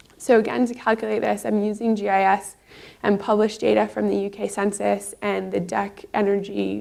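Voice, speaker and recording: A woman with a Canadian accent talks at a fairly quick pace. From Canada, Toronto. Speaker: PhD researcher. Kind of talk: conference talk.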